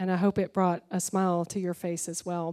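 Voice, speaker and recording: Heard in a very clean recording with a silent background and a dry, close sound with no echo, a woman speaks at a fairly quick pace and medium pitch in a dark, mellow tone. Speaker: senior pastor. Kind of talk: church meeting moderation and prayer. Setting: church theater with live audience and livestream.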